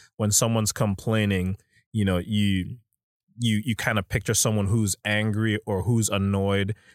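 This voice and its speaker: A man speaks at a fairly low pitch in a monotone, flat intonation. The recording is very clean with a silent background, and the sound is dry and close with no echo. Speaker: student ministry podcast co-host. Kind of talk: casual faith discussion.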